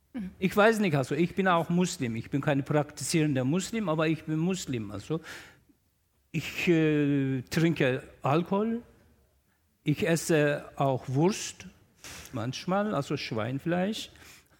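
Speaking very slowly with long, frequent pauses, a man uses a fairly high pitch and lively intonation. The recording is very clean, with a silent background. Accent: Turkish. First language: Turkish (speaking German). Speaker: newspaper journalist and columnist. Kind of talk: panel discussion. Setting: stage with audience in a festival tent.

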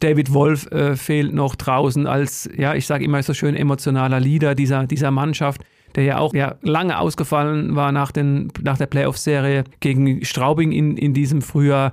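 A man with a fairly high pitch speaks in a monotone, flat intonation at a moderate pace. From Germany, Odenwald region. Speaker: ice hockey reporter. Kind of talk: casual chat.

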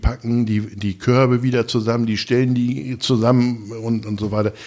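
His pitch sits fairly low. This man's delivery is fairly slow. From northern Germany, Lower Saxony. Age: 60s. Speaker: food bank volunteer leader, retired soldier. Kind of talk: casual interview. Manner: hesitant, many filler sounds.

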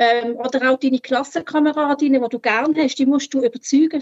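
Very fast in pace, a woman talks at a high pitch with ordinary pitch variation. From Switzerland, Basel-Landschaft. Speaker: former free church member sharing her story. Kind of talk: personal testimony in conversation.

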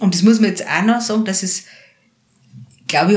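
A woman speaks with a Bavarian accent. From Lower Bavaria, rural area near Passau. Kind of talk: casual interview. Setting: her practice.

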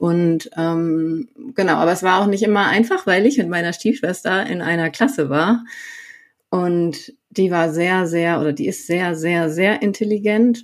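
Her voice sits at a medium pitch with ordinary pitch variation. The woman speaks at a fairly slow pace. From Sauerland, North Rhine-Westphalia, Germany. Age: 30s. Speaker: coach. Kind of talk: personal interview.

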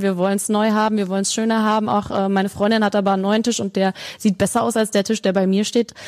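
A woman talks very fast at a medium pitch, her intonation flat and monotone. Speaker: podcast host. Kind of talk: casual interview. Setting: large showroom, echoey. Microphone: room echo.

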